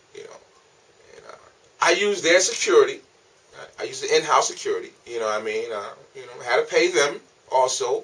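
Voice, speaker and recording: Moderate-paced speech from a man, with noticeable background noise. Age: 40s. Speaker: comedian. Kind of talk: casual monologue to camera. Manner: casual.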